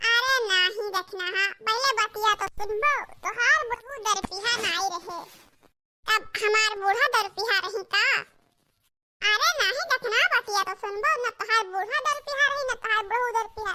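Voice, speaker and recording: In a cartoonish character voice, someone speaks at a fairly slow pace and an extremely high pitch. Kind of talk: comic cartoon dialogue.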